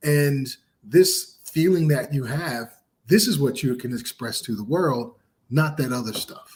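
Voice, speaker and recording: Speaking at a fairly slow pace, a man with a fairly high, somewhat breathy voice uses lively intonation. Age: 50s. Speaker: podcast co-host and author. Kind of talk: casual chat.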